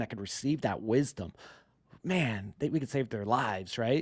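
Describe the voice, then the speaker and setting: A man with an American accent speaks at a moderate pace in an animated tone with lively intonation, recorded very cleanly with a silent background and a dry, close sound with no echo. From South Florida. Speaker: podcast host. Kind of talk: podcast interview.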